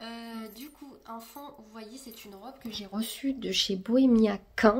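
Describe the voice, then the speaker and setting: A woman speaks with a fairly high pitch. Her pace is fairly slow and her intonation fairly even. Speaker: vlogger. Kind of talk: casual vlog talk to camera. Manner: soft-spoken; trying to speak louder than usual.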